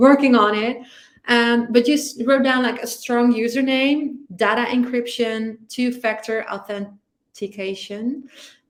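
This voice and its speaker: A woman talks at a fairly slow pace with a Dutch accent. Her high-pitched voice keeps a fairly even intonation. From Netherlands. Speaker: security podcast co-host. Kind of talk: casual chat.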